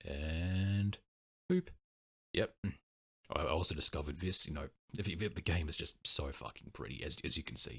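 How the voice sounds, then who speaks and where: A man's very deep, low voice with vocal fry, at a moderate pace with ordinary pitch variation and long, frequent pauses. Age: 20s. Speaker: retro gaming youtuber. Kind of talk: casual monologue. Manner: halting.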